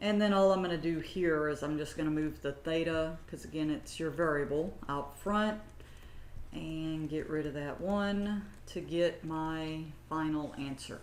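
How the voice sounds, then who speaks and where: With audible room echo, a woman speaks at a fairly slow pace in a very deep, low pitch and fairly even intonation. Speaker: math instructor. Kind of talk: lecture. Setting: recorded lecture, camera off.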